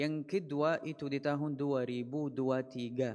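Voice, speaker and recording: Fairly even intonation in an Arabic accent. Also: man. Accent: Arabic-accented Indonesian. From Palestine, Gaza. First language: Arabic (speaking Indonesian). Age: 20s. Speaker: Islamic preacher. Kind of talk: religious talk. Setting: mosque. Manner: halting.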